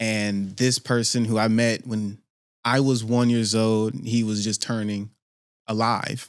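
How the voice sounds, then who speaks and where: The man speaks at a very slow pace. His intonation is monotone and flat. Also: very clean recording, silent background. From Pittsburgh, California (SF Bay Area). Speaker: podcast host. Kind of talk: casual podcast monologue. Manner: slow, deliberate.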